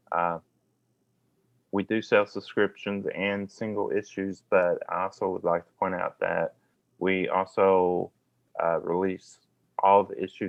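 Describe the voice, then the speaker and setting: Speaking very slowly in a Kentucky accent, a man has a fairly low pitch. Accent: Southeast Kentucky. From US South, southeast Kentucky. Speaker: magazine editor and publisher. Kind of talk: podcast interview.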